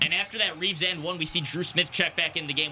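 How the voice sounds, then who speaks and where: Noticeable background noise accompanies a man speaking in an energetic tone. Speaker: sports broadcaster. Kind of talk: radio basketball play-by-play. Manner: fast, energetic.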